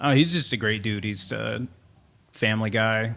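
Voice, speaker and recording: Very clean with a silent background, the recording captures a man speaking at a moderate pace. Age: 30s. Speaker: podcast host. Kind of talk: casual chat. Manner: halting, many fillers.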